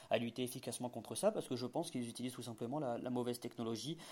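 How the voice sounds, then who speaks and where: A man speaks with a dark, mellow tone. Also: very clean recording, silent background. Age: 20s. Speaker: startup founder and self-taught developer. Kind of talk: interview. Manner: halting, frequent repetitions and hesitations.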